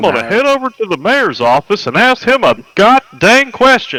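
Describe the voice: A man puts on a character voice, drawling at a moderate pace with extremely high pitch, in a dry, close sound with no echo. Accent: Texan.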